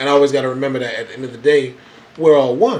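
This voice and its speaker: Very fast speech from a man at medium pitch, with noticeable background noise and audible room echo. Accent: American. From Florida, Daytona Beach. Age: 20s. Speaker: radio host. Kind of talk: radio talk show. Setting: radio studio. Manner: animated, fiery; repetitive, stammering restarts.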